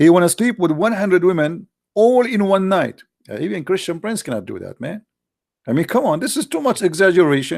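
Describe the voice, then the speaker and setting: On a very clean recording with a silent background, a man with an Arabic accent talks fairly quickly in a high pitch, his intonation lively and his loudness swinging widely. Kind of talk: polemical livestream commentary. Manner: animated, sarcastic.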